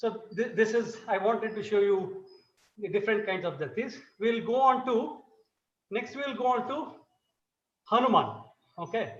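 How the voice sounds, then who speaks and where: A man's high-pitched voice at a moderate pace, with ordinary pitch variation, long, frequent pauses and audible room echo. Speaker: dance guru. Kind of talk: lecture demonstration.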